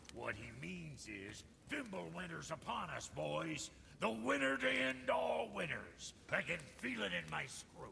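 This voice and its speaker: A man's put-on character voice, fairly low and fairly slow, against clear background noise. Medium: video game. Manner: gruff, blunt.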